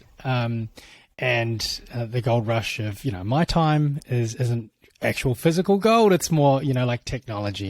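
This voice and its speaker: On a very clean recording with a silent background, a man with a New Zealand accent talks at a moderate pace, medium pitch and lively intonation. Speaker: tech executive for creator platforms. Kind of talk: podcast interview. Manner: halting, many fillers.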